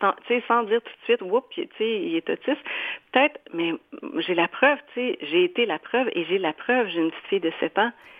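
This woman's voice is fairly high and moves at a moderate pace. It swings very widely in pitch. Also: big swings in loudness. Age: 40s. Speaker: painter and author. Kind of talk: radio interview.

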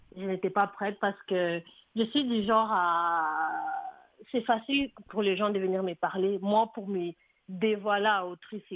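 A woman's medium-pitched voice, fairly even in intonation, at a fairly slow pace with long, frequent pauses. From DR Congo. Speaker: author and poet. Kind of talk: radio interview.

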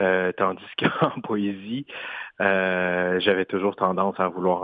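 A man speaks with a very deep, low pitch. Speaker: singer-songwriter and poet. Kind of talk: interview. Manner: halting.

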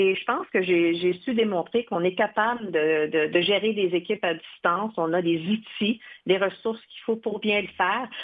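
A woman has an ordinary speaking voice with a medium pitch. She talks at a moderate pace with ordinary pitch variation. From Quebec, Odanak First Nation. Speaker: television network executive. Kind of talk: interview.

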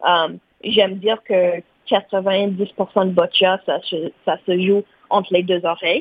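She speaks at a very slow pace and medium pitch, in a monotone, flat intonation. Long, frequent pauses break up her speech. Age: 30s. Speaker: para-athlete. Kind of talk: interview.

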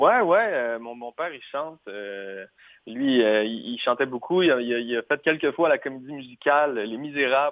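A man speaks at a medium pitch and a moderate pace in an ordinary speaking voice. His loudness swings widely, while his pitch varies in an ordinary way. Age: 20s. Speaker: singer-songwriter. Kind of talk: interview.

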